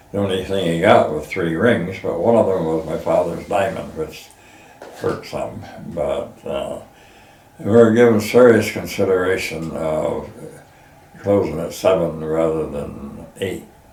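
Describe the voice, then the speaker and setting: This man talks fairly slowly, with audible room echo and noticeable background noise around him. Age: 80s+. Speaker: pumpkin farmer. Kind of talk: casual interview. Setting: outdoors on farm porch. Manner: halting, many fillers.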